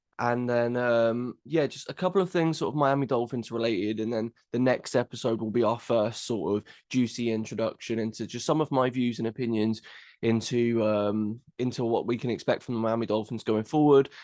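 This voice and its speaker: Against a quiet background, a man speaks with an English accent. His pace is fairly quick, with a medium pitch and ordinary pitch variation. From England. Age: 20s. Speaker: podcast host. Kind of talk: podcast monologue. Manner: hesitant, many fillers and repeats.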